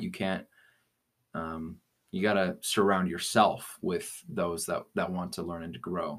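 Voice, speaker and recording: A man with an American accent, fairly low-pitched, at a fairly slow pace, on a very clean recording with a silent background. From Colorado. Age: young. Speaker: podcast co-host. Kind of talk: casual chat. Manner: halting.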